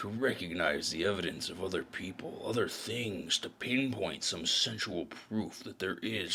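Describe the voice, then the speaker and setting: A man's put-on character voice, fairly low in pitch and weary in tone, over clear background noise. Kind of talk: noir audio drama narration. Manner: brooding, world-weary.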